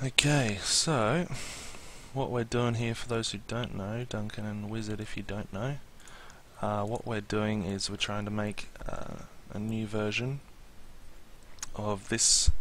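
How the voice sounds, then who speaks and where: A man with an Australian accent talks at a fairly slow pace, leaving long, frequent pauses. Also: fairly low pitch for a man, fairly even intonation. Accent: Australian, milder than expected. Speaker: Minecraft streamer. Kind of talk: live stream tutorial chat. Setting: live stream. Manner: casual, hesitant with many fillers.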